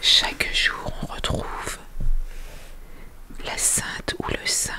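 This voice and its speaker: Whispering at a very slow pace, a woman speaks over noticeable background noise. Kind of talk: ASMR book presentation. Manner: whispered.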